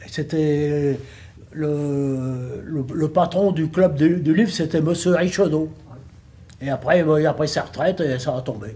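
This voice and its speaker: At a very slow pace, a man speaks in a fairly high, dark, mellow voice with ordinary pitch variation. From northern France, Lille area. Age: 80s+. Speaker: retired bookbinding factory worker. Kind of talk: interview testimony. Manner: halting, hesitant with repetitions.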